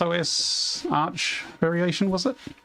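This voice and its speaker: A man at a fairly slow pace with lively intonation, music in the background. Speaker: video game streamer. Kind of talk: live gameplay commentary. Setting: livestream. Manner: loud; rambling conversational.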